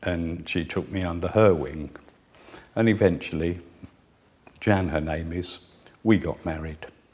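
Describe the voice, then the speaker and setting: This man's voice is very deep and low in pitch. He speaks at a moderate pace with ordinary pitch variation. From southern England, Guildford. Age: 60s. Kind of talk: personal testimony.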